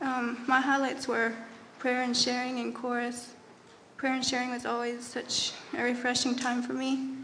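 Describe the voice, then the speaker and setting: In an American accent, the speaker talks at a moderate pace with monotone, flat intonation. Noticeable background noise and audible room echo fill the recording. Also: woman, high pitch for a woman. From Texas. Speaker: youth Bible school student. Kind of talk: testimony.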